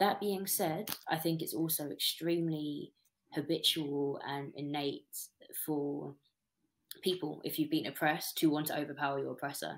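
Speaking at a moderate pace, a woman with a British accent has a very deep, low pitch. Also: fairly even intonation. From Britain. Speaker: spoken word poet; interviewee. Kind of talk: interview answer. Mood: thoughtful, calm. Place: home room. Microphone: webcam.

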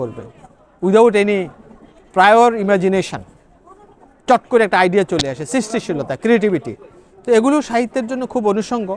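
A man with a high-pitched voice talks as noticeable background noise continues. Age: 60s. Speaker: novelist and psychology professor. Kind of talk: interview.

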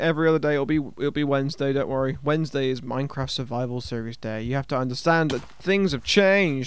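A man at a fairly quick pace, dry sound with no echo. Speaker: gameplay commentator. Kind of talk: casual gaming commentary.

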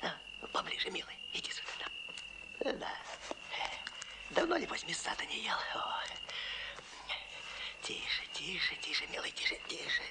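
A whispered, put-on character voice with vocal fry, fairly slow, broken by long, frequent pauses. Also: man.

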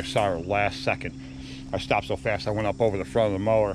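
Spoken at a very fast pace, the voice sounds dry with no echo, over noticeable background noise. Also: man. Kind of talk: casual vlog chat. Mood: animated, a bit shaken. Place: street. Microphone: phone near.

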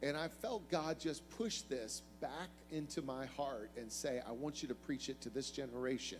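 A man is talking, his pitch varying in an ordinary way. Music can be heard behind him. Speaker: guest preacher. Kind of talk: sermon. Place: church. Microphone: handheld.

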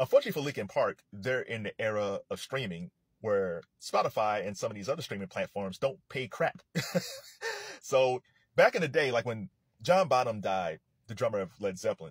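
Recorded dry with no echo in a quiet background, a man speaks at a moderate pace. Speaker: commentator. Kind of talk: casual commentary. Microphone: phone near.

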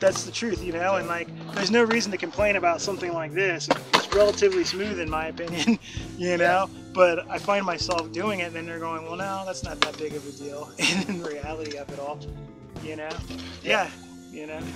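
Music plays clearly in the background. A man speaks at a fairly quick pace, the sound dry with no echo. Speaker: skateboarder. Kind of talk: casual interview host at skate park. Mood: relaxed, easygoing. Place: open country. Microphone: camera far.

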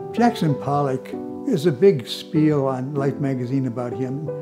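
An American accent at a moderate pace, with very wide pitch swings and clear music in the background. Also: man. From Detroit. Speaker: artist. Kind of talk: interview answer. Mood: warm, enthusiastic reminiscing. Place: studio.

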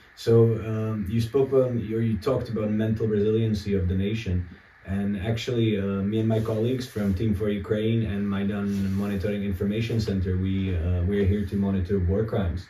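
A man with a fairly low pitch talks in a monotone, flat intonation, with audible room echo and light background noise. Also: moderate pace. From Czech Republic. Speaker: political analyst. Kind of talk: interview. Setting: abandoned house in war zone. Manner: halting. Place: home room.

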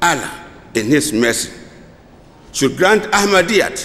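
Very slow and high-pitched, a man with a Ghanaian accent speaks with very wide pitch swings. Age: 70s. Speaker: retired civil servant; guest. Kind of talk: formal speech. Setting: stage with audience at convention. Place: hall. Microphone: podium.

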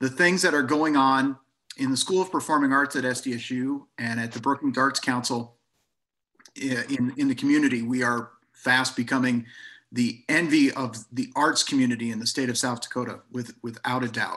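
A man with a bright, sharp tone, fairly even intonation and a moderate pace. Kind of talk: informal talk on a history project. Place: office. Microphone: webcam.

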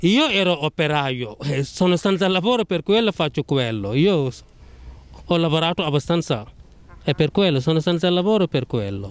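Fairly high-pitched, this man talks with a non-native accent and very wide pitch swings. The sound is dry and close, with no echo. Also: moderate pace. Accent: foreign accent, speaks Italian well. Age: 30s. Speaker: unlicensed parking attendant. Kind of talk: street interview. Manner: halting.

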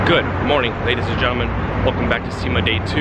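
A man speaks in a dry sound with no echo over loud background noise. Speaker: car vlogger. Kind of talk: casual vlog chat. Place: street. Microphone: phone near.

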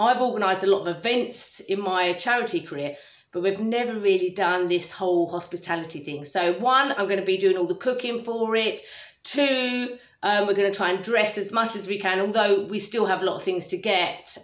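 A woman talks at a fairly quick pace, and audible room echo surrounds her voice. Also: ordinary pitch variation. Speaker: home renovation vlogger. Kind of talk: casual vlog chat. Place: kitchen. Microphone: phone near.

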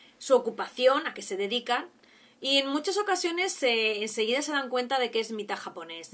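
Her pitch high with very wide swings, a woman talks at a moderate pace. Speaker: vlogger. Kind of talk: casual vlog chat. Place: home room. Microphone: webcam.

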